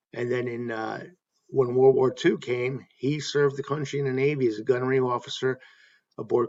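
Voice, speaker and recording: Speaking at a fairly quick pace, a man has a medium-pitched voice and a plain, everyday voice. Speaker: baseball fan YouTube host. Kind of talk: casual talk to camera, informal video essay.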